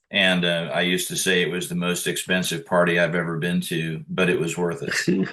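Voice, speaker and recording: Speaking in a flat monotone, a man with a very deep, low pitch moves at a fairly quick pace with hardly any pauses. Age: 60s. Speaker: punk band singer and record producer. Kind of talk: interview. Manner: halting, with many fillers.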